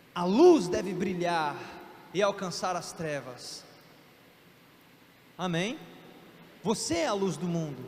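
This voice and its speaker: A man's lively intonation rings out with audible room echo. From Brasília, Brazil. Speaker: missionary preacher. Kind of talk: sermon. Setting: church. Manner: fast.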